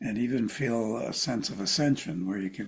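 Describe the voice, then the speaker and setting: The man's voice is fairly low in pitch with vocal fry and ordinary pitch variation. He speaks at a moderate pace. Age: 70s. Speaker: clinical psychologist and author. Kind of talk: interview conversation.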